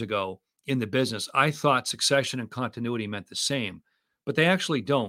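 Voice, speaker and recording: The recording is very clean, with a silent background. A man speaks at a medium pitch with lively intonation. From US Northeast (Boston area). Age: 60s. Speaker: financial advisor and podcast host. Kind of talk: interview.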